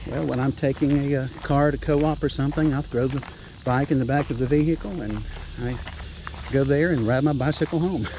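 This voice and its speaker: A fairly high-pitched man at a fairly quick pace, his intonation fairly even, over noticeable background noise. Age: 60s. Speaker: retired police officer. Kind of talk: interview. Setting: outdoors.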